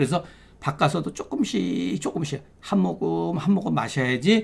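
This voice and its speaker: On a very clean recording with a silent background, a man with a fairly high pitch and vocal fry talks at a fairly slow pace with very wide pitch swings. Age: 60s. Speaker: Korean medicine doctor and lecturer. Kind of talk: lecture. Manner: conversational.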